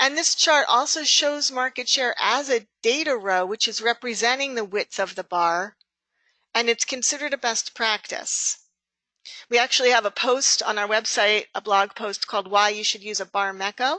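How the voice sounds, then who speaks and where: Fairly high in pitch, a woman speaks with a bright, sharp tone, ordinary pitch variation and a moderate pace. The sound is dry and close with no echo, over a quiet background. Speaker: software trainer. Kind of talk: webinar tutorial. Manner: halting.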